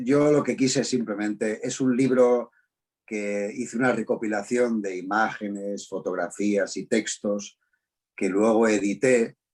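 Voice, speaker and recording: A man's medium-pitched, unremarkable speaking voice, fairly slow in pace with fairly even intonation. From Spain, Madrid. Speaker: voice actor and dubbing director. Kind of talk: interview. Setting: video call.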